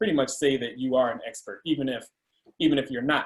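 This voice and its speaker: This is a man speaking. His pitch is fairly high. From Chicago area, US Midwest. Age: 40s. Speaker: tech consultant. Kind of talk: career talk to students. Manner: conversational with fillers.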